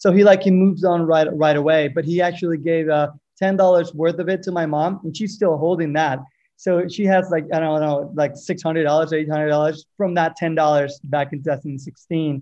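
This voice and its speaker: A man's fairly high voice at a moderate pace, a plain, everyday voice with fairly even intonation over a quiet background. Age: 30s. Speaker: podcast listener. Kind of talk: interview.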